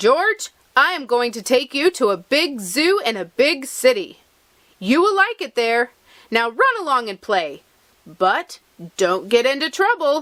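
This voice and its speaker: Using a put-on character voice, a woman speaks at a high pitch with very wide pitch swings and a fairly slow pace. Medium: read story. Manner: kind, firm.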